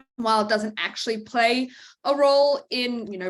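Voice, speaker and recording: A woman with a slight Australian accent at a fairly quick pace. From Australia, Brisbane. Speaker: veterinarian. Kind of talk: lecture. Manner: many fillers (um).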